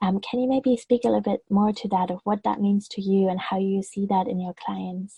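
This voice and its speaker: A woman talks at a fairly quick pace with hardly any pauses. Her voice is somewhat breathy and her intonation fairly even. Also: medium pitch for a woman. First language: not English. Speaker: podcast host and web designer. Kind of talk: interview.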